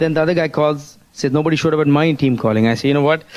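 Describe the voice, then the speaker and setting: A man at a fairly high pitch, very fast pace and ordinary pitch variation. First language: not English. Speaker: motivational speaker, network marketing leader. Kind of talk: motivational speech. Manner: animated.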